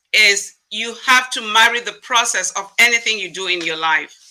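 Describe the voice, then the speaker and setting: Speaking at a moderate pace, a woman with a fairly high pitch uses ordinary pitch variation and big swings in loudness. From Africa. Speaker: diversity consultant and former nurse. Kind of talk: interview.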